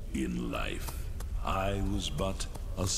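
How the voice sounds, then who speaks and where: Loud background noise sits under a man doing a put-on character voice. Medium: machinima. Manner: grave, ominous.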